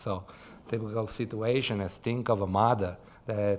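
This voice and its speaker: A man talks with an Italian accent at a fairly low pitch. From Italy. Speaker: tech startup founder. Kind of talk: podcast interview. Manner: talks with his hands, expressive.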